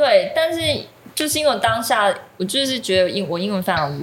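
A woman's voice with very wide pitch swings at a fairly quick pace, plus audible room echo and noticeable background noise. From Taiwan. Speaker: ceramic artist. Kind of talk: casual chat.

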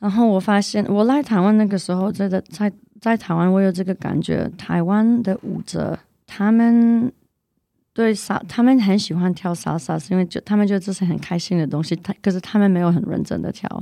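At a moderate pace, a woman speaks in a dark, mellow tone at medium pitch with ordinary pitch variation against a quiet background. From Canada, of Polish descent. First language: not Chinese; learned Mandarin as an adult (speaking Chinese). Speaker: salsa dance teacher. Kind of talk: casual chat. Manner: halting, repeats words while searching for Chinese.

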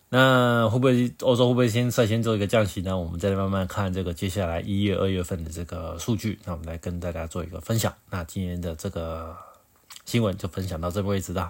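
This man's voice has a very deep, low pitch with ordinary variation. He talks at a very fast pace. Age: middle-aged. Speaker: podcast host. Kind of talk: solo news commentary. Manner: halting with many fillers.

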